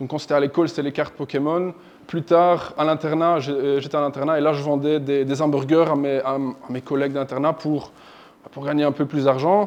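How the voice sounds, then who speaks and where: A man talks at a fairly quick pace with a slight non-native accent. His pitch is fairly high, and his intonation is monotone and flat. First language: not French (speaking French). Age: 30s. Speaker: software developer, company founder. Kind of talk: presentation to an audience. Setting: evening event with live audience. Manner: halting, frequent repetitions and fillers.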